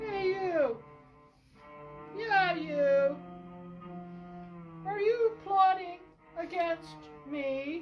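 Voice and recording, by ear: A put-on character voice, female-sounding and extremely high in pitch, goes at a very slow pace with long, frequent pauses while faint music plays in the background.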